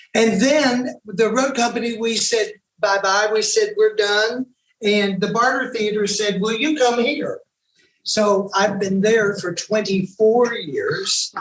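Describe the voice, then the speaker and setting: The speech has an Appalachian accent. It moves at a very slow pace. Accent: Southern US (Appalachian). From East Tennessee. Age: 60s. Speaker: actor and musician. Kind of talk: panel discussion.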